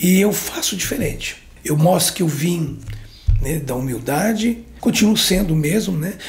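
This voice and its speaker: A man speaks at a moderate pace in a high pitch with lively intonation. Noticeable background noise and audible room echo accompany him. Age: 60s. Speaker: pastor and former handball coach. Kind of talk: interview. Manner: halting, filler-heavy speech.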